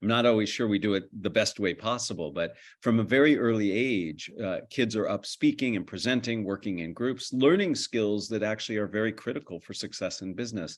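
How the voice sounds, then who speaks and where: In a plain, everyday voice with an American accent, a man talks at a fairly quick pace with hardly any pauses, a fairly low pitch and ordinary pitch variation against a quiet background. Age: middle-aged. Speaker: communication lecturer. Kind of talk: interview.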